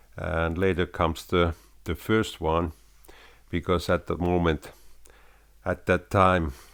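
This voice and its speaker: A man with a very deep, low pitch speaks at a fairly slow pace in a monotone, flat intonation. Long, frequent pauses break up his speech in a very clean recording with a silent background. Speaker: YouTuber, home recording hobbyist. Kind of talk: casual talk to camera. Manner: halting, many fillers.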